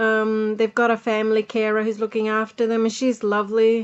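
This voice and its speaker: A woman with a fairly high pitch talks in an Australian accent. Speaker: podcaster and music producer. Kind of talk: casual podcast diary talk. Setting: home recording with buzzing noise.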